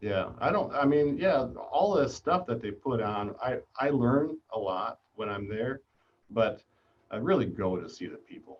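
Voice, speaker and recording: In a plain, everyday voice, a man of medium pitch talks at a fairly slow pace with lively intonation and big swings in loudness. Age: 60s. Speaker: manufacturing business owner. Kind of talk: casual chat. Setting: live video stream.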